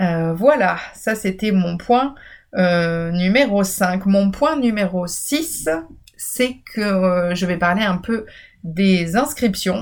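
A woman speaks very slowly with lively intonation. The recording is very clean, with a silent background. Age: 30s. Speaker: university program director and podcast host. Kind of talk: informational solo podcast. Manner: hesitant with fillers.

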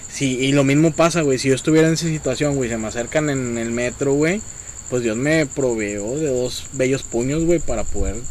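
Over noticeable background noise and audible room echo, a man with a Mexican accent talks at a moderate pace and medium pitch with ordinary pitch variation. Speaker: podcast host. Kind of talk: casual chat.

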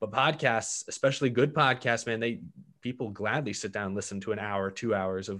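In a very clean recording with a silent background, a man with a normal speaking voice talks at a fairly quick pace with a medium pitch and ordinary pitch variation. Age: 20s. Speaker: YouTuber and podcast network founder. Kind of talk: interview.

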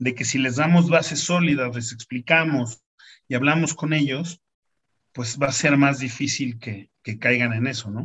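A man speaks at a fairly high pitch and a fairly slow pace. His pitch variation is ordinary. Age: 40s. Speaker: lawyer and foundation founder. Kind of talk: interview. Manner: halting, with frequent repeated words.

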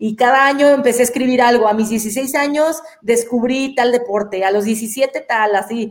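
Speaking high in her range, a woman shows ordinary pitch variation. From Mexico, Guadalajara. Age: 40s. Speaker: professional athlete. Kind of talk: interview.

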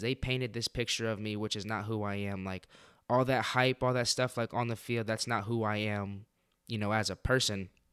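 A man speaks in a normal speaking voice at a medium pitch and moderate pace, with fairly even intonation, in a very clean recording with a silent background. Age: 20s. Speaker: podcast host. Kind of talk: casual monologue.

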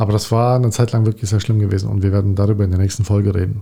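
Very fast and somewhat breathy, a man's voice has a dark, mellow tone. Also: very clean recording, silent background. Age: 40s. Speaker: podcast co-host. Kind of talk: casual chat.

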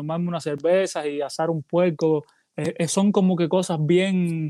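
A fairly slow pace with fairly even intonation. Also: man. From Cuba. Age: 30s. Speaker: salsa singer. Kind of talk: interview.

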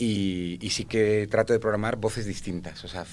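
A man is speaking. His intonation is fairly even. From Spanish Mediterranean coast. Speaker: storyteller and festival organizer. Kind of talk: casual chat.

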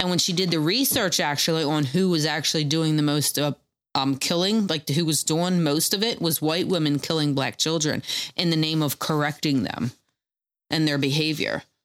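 On a very clean recording with a silent background, a woman with a very deep, low pitch speaks at a moderate pace, with ordinary pitch variation and very even loudness. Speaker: podcast co-host. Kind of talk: casual chat. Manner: repeats himself, stutters.

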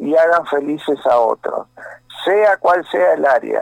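This man's voice is high in pitch. His delivery is fairly slow. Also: dry, close sound with no echo. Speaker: pastor and rock musician. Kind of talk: phone interview.

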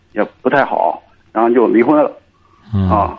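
There is noticeable background noise behind this man. He talks at a moderate pace with ordinary pitch variation. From Cangzhou, Hebei, China. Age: 30s. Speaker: caller. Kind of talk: phone-in advice call. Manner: halting.

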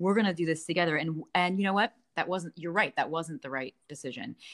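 A woman's fairly low voice with ordinary pitch variation and a dry, close sound free of echo. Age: 40s. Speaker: ice cream company founder. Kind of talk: casual chat. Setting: remote call. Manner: animated.

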